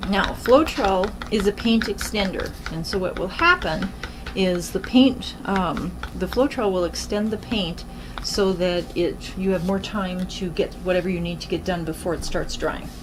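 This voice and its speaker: Audible room echo and noticeable background noise surround a woman speaking at medium pitch with ordinary pitch variation. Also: moderate pace. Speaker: acrylic pour painting artist. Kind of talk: tutorial. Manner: hesitant, many fillers.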